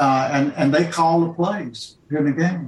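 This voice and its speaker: The speaker has a Mississippi accent. The intonation stays fairly even. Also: man. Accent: US Southern (Mississippi). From Jackson, Mississippi. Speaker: author and retired professor. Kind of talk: virtual panel discussion.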